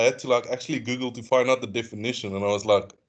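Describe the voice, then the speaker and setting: A man with a South African accent speaks at a very fast pace and a medium pitch. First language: Afrikaans. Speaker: student. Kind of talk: online class discussion.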